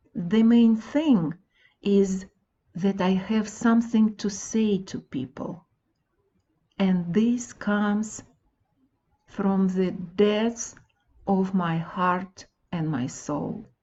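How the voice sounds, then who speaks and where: A woman with a non-native accent, very slow with long, frequent pauses, somewhat breathy, with ordinary pitch variation. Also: medium pitch for a woman. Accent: foreign accent in English. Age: 60s. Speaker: wellness blogger and author. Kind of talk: reading own audiobook.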